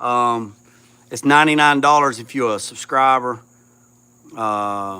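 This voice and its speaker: A loud, bright, sharp male voice at medium pitch, with ordinary pitch variation, a fairly slow pace and long, frequent pauses, on a very clean recording with a silent background. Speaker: YouTuber restoring a classic car. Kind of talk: livestream chat with viewers. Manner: halting, many fillers.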